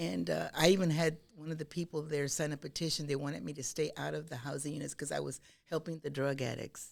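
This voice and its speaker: An American-accented woman speaks very fast with hardly any pauses, using vocal fry at a very deep, low pitch. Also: ordinary pitch variation. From Texas, Austin. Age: 70s. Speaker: social worker. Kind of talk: interview.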